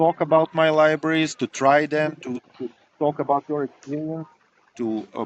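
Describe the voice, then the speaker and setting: A man speaks fairly slowly with a non-native accent. The sound is dry and close, with no echo. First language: not English. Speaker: software engineering professor and library developer. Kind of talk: interview. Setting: outdoors by a river. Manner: halting, many repetitions and fillers.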